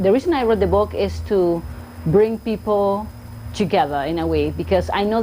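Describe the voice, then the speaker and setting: A woman with a strong Argentine accent at a fairly quick pace. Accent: thick Argentine Spanish. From Argentina, Buenos Aires. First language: Spanish. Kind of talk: casual vlog talk to camera.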